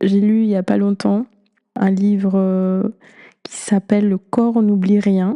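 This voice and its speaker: A woman with a non-native accent speaks very slowly with long, frequent pauses, her medium-pitched voice dark, mellow and monotone with flat intonation, the sound dry and close with no echo. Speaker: podcast host. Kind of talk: podcast monologue.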